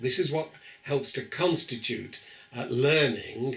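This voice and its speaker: A man with a British accent talks at a fairly slow pace in a fairly high pitch. Noticeable background noise and audible room echo are present. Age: 70s. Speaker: professor. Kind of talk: lecture. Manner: hesitant fillers.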